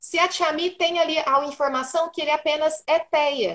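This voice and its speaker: At a fairly slow pace, a woman talks in a high-pitched voice. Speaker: neuropsychopedagogue. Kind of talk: live stream interview. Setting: online live stream.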